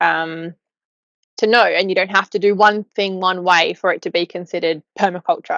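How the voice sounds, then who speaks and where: Speaking with an Australian accent, a woman keeps a monotone, flat intonation at a medium pitch and moderate pace. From Australia, Newcastle. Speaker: podcast co-host, permaculture gardener. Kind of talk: casual chat.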